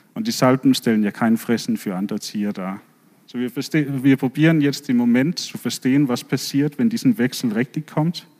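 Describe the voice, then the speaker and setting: A man speaks with a Danish accent at a medium pitch and a moderate pace. His intonation is lively, and the sound is dry and close with no echo. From Denmark. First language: Danish (speaking German). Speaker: marine biologist, professor. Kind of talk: lecture talk with slides.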